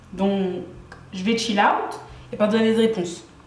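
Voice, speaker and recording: Noticeable background noise runs through the clip. Audible room echo is present as well. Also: woman. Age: 20s. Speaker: beauty YouTuber, student. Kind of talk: casual vlog introduction. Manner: animated.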